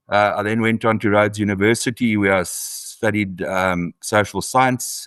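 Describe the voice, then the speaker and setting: At a moderate pace and with fairly even intonation, a speaker with a South African accent is heard in a dry, close sound with no echo against a quiet background. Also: man. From South Africa, Eastern Cape. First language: isiXhosa. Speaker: author and farmer. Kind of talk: interview. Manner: hesitant, many fillers.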